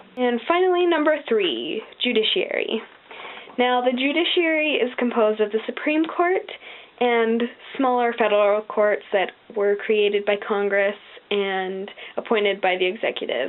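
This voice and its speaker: In an American accent, a woman speaks at a moderate pace with a fairly high pitch, lively intonation and very even loudness, with noticeable background noise behind her. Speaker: video blogger. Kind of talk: casual explanatory vlog. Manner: casual with many filler ums.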